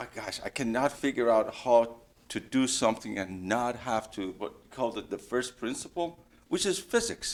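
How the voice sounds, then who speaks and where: This man's medium-pitched voice comes with a non-native accent. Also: ordinary pitch variation, moderate pace. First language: not English. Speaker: engineer, career panelist. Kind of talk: panel discussion. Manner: halting.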